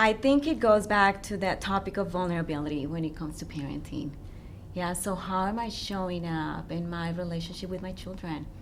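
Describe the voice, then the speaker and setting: With a non-native accent, a woman talks fairly quickly at a medium pitch with ordinary pitch variation, and room echo is audible. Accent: foreign accent in English. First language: not English. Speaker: relationship coach. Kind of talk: radio interview.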